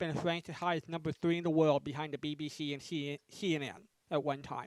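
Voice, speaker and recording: A man speaks fairly quickly. The sound is close and dry, without any echo. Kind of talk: casual talk to an online group, plugging a radio station. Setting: video call.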